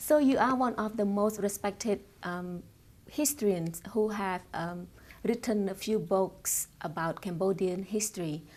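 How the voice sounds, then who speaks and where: The very clean recording with a silent background captures a woman in an ordinary speaking voice, with medium pitch, ordinary pitch variation and a fairly slow pace. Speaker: journalist. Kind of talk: interview questions.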